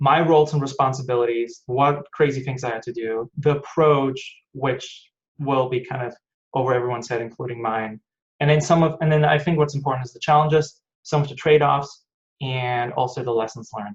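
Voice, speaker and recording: A man speaks at a fairly quick pace with a medium pitch, fairly even intonation and a somewhat breathy quality. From Germany, Hanover. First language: German. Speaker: aerospace engineer. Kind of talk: online technical talk.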